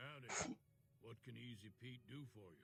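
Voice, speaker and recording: A raspy, put-on character voice from a man, medium in pitch, at a moderate pace over clear background noise. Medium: video game. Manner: laid-back, folksy.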